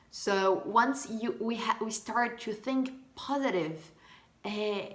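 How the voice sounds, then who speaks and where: Speaking with a Portuguese accent, a woman uses lively intonation at a fairly high pitch amid audible room echo. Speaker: vlogger. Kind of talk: casual monologue. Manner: halting.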